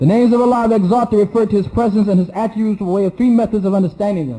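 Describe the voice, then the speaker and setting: A man talks at a very fast pace, pitched high for a man. His tone is dark and mellow. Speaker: Islamic teacher. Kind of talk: lecture.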